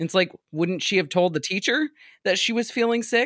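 A man on a very clean recording, silent background, dry and close with no echo. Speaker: guest podcaster discussing Goosebumps books. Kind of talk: casual chat. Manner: outgoing.

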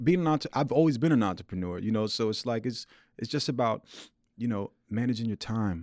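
With a New York accent, a man talks at a very fast pace and medium pitch, his intonation lively, on a very clean recording with a silent background. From Queens, New York City. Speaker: violinist. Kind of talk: interview. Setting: studio. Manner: relaxed, casual.

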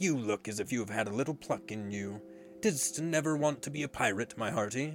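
A man performs a put-on character voice at medium pitch and a fairly quick pace. Clear music plays in the background. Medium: read story. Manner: roaring, gloating.

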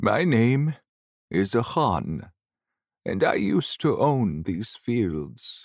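In a very clean recording with a silent background, a man puts on a character voice at a medium pitch, speaking at a very slow pace with big pitch swings and vocal fry.

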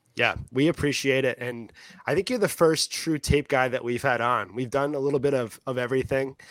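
A man talks fairly quickly in an ordinary speaking voice, medium in pitch, with fairly even intonation. The sound is dry and close, with no echo. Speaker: fantasy football podcast host. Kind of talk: casual podcast chat.

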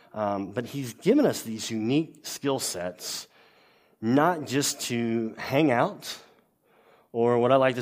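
A man with a medium pitch speaks at a very slow pace in a Louisiana accent, with ordinary pitch variation. The recording is very clean, with a silent background. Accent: Southern US (Louisiana). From US South, Louisiana. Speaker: pastor. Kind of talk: sermon.

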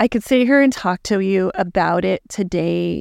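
A woman talks at a fairly slow pace in a normal speaking voice at medium pitch, recorded very cleanly against a silent background with a dry, close sound and no echo. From Texas, El Paso. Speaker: digital marketing agency owner. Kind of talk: casual interview. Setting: studio.

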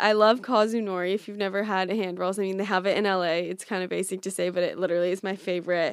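Heard in a very clean recording with a silent background, a woman speaks at medium pitch. Her intonation is fairly even. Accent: Californian. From US West Coast, Orange County, California. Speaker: social media influencer. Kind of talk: casual chat. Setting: in person in Brooklyn.

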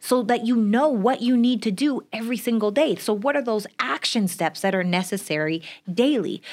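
A woman uses an ordinary speaking voice, fairly high in pitch, at a fairly quick pace with lively intonation. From Canada. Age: 30s. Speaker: entrepreneur and business coach. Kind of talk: casual interview.

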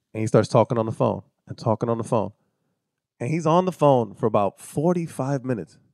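Using an ordinary speaking voice, a man talks at a fairly quick pace with a medium pitch and lively intonation. The sound is dry and close, with no echo. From US, Puerto Rican family. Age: 30s. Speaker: actor and podcaster. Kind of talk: casual chat. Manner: casual, profane.

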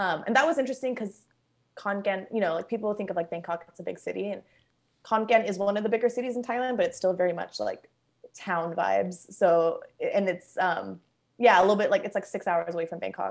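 A woman speaks at a very fast pace in a Southern Californian accent, with ordinary pitch variation. Her pauses are long and frequent. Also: medium pitch for a woman. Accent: Southern California American. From Los Angeles, California. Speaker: food writer. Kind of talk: casual interview chat. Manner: fast talker, chaotic.

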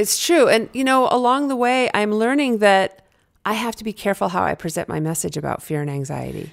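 A woman with an American accent has a fairly high pitch with very wide swings. The recording is very clean, with a silent background. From New Hampshire, US. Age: 50s. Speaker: former pro skier, fear and anxiety expert. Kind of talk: interview conversation.

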